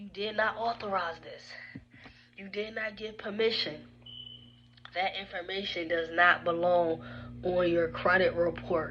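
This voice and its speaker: Over noticeable background noise, a woman speaks at medium pitch and a fairly slow pace with fairly even intonation. Her loudness swings widely, and she takes long, frequent pauses. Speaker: credit repair advisor. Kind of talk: informal explainer video.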